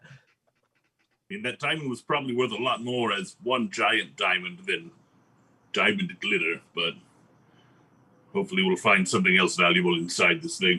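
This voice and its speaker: In a put-on character voice, a man speaks at a moderate pace and medium pitch, with long, frequent pauses. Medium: actual play. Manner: relaxed, casual.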